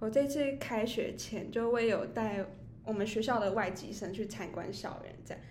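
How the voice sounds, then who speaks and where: The recording has audible room echo. Pitch varies in an ordinary way. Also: woman. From Taiwan, Taichung. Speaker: podcast co-host. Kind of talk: casual chat.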